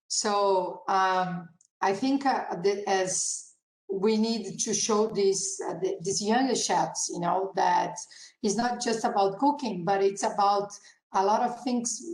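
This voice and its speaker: A woman speaks very slowly, at medium pitch with ordinary pitch variation and very even loudness. Room echo is audible. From Brazil, Curitiba. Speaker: chef and restaurant owner. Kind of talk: panel interview. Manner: halting.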